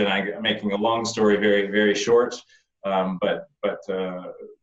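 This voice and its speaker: Over audible room echo, a man with a Canadian accent talks at a moderate pace and a fairly low pitch with monotone, flat intonation. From Canada. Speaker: winemaker. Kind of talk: online wine tasting conversation. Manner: halting, many repetitions.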